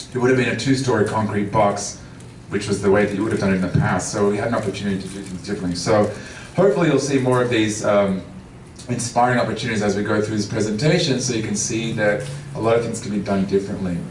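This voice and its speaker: Room echo is audible as a man talks at a very fast pace. Noticeable background noise sits behind him. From Australia, Melbourne. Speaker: transportation consultant. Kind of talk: public talk.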